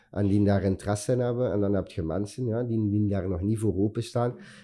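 The man's voice has a dark, mellow tone. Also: quiet background. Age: 40s. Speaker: chef. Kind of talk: interview. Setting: office studio. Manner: halting.

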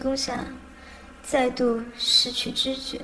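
Noticeable background noise runs behind a woman. She speaks at a very slow pace in a high pitch. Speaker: amateur audiobook narrator. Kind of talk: reading aloud.

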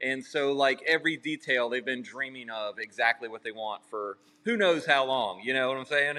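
A man talks at a moderate pace and medium pitch, with ordinary pitch variation and hardly any pauses. He has a normal speaking voice. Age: 40s. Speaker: custom home builder and YouTuber. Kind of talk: casual interview chat.

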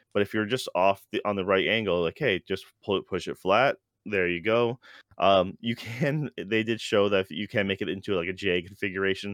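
A man talks at a moderate pace in a plain, everyday voice, fairly low in pitch with ordinary pitch variation. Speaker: co-host. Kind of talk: casual chat. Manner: casual, filler-heavy.

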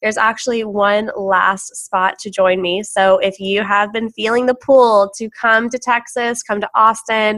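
Her tone bright and sharp, a woman with a fairly high pitch speaks at a fairly slow pace in a monotone, flat intonation, with hardly any pauses. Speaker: podcast host. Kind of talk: podcast monologue.

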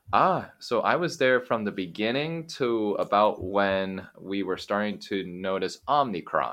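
Fairly low-pitched, this man speaks at a fairly slow pace with lively intonation and hardly any pauses. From US, Oregon (Eugene). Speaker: English teacher, podcaster. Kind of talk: interview, casual chat.

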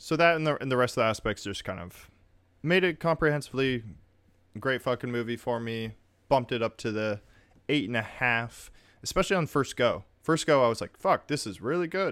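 A man at medium pitch and a fairly quick pace, lively in intonation, an unremarkable speaking voice on a very clean recording with a silent background. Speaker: podcast host. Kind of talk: casual chat. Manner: casual, overlapping banter.

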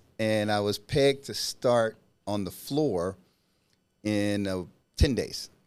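A man with an American accent, fairly low in pitch, with ordinary pitch variation, a very slow pace and long, frequent pauses. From US South, Mississippi (Natchez area). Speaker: new home sales rep. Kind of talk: casual chat.

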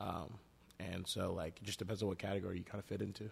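Somewhat breathy, a man with a very deep, low pitch talks at a very fast pace in a monotone, flat intonation. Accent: American. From Dallas, Texas (Nigerian family). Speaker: entrepreneur. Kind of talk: interview.

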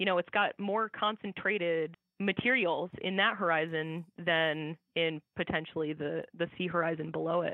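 A plain, everyday voice with an American accent, spoken at a moderate pace with fairly even intonation. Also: woman, fairly low pitch for a woman. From US Midwest (Iowa). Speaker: soil scientist. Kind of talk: interview.

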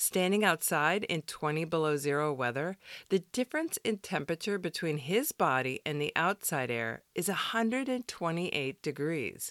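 On a very clean recording with a silent background, a woman uses an ordinary speaking voice, fairly low in pitch, with lively intonation at a moderate pace. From US Midwest, Wisconsin. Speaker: podcast host. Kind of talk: devotional podcast narration.

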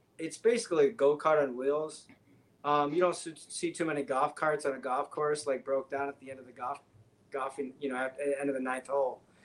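Speaking fairly quickly with an American accent, a man uses a normal speaking voice, fairly high in pitch, with fairly even intonation. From Michigan, near Detroit. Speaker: guest, physics graduate and Tesla road-tripper. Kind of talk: casual chat.

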